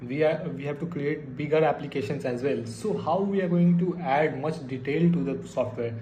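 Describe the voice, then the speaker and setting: A man speaks in a fairly high pitch with ordinary pitch variation and hardly any pauses. The recording carries noticeable background noise and audible room echo. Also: moderate pace. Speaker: programming tutorial youtuber. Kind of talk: tutorial. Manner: hesitant, many fillers.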